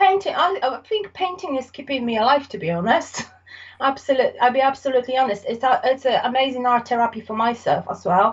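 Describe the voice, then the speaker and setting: Speaking with a Polish accent, a woman talks at a fairly quick pace with a high pitch and lively intonation. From Poland. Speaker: artist. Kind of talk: casual interview. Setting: podcast recording. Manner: halting.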